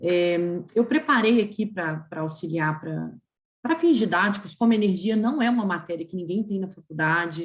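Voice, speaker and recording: Moving at a moderate pace, the speech has lively intonation and a somewhat breathy quality. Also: woman, medium pitch for a woman. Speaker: energy regulation lawyer, webinar panelist. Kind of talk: webinar talk. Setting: video call.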